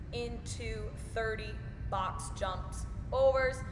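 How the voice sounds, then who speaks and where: A woman is speaking. Music plays in the background. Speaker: fitness coach. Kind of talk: workout tutorial. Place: gym. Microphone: camera far.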